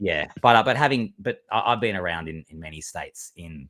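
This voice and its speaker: Talking very fast, this man has an Australian accent. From Australia, Melbourne. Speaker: LEGO builder and content creator. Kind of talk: casual interview chat.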